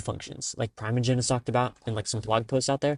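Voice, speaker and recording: A man speaks at a very fast pace with fairly even intonation. The sound is dry and close with no echo, over a quiet background. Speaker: solo podcaster and programmer. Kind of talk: casual solo podcast monologue. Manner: many pauses and fillers.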